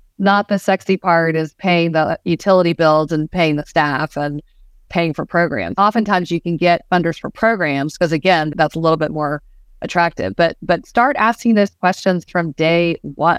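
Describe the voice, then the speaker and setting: A woman with an ordinary speaking voice and an American accent, fairly low pitch, ordinary pitch variation and moderate pace, on a very clean recording with a silent background. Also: dry, close sound with no echo. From US South, Georgia. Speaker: museum planning consultant. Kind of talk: interview.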